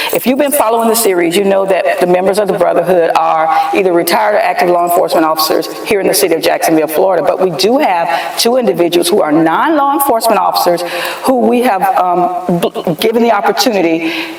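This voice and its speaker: Very fast speech against noticeable background noise. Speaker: podcast host. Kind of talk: interview. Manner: louder.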